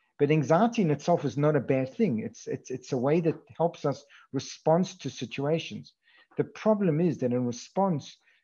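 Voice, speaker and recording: His tone dark and mellow, a man with a fairly high pitch speaks at a moderate pace with lively intonation. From Africa. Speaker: psychiatry professor. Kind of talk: lecture. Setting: video call. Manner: halting, many repetitions.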